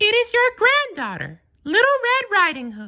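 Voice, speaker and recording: In a put-on character voice, the speaker hits an extremely high pitch at a moderate pace. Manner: disguising voice, feigning sweetness.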